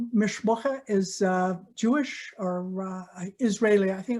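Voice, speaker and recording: A woman speaks at a fairly slow pace, somewhat breathy. Her tone is dark and mellow. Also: very clean recording, silent background. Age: 80s+. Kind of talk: personal talk in a church service. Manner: warm, conversational.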